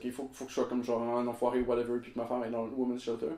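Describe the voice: Over audible room echo, a man talks at a very fast pace in a dark, mellow tone.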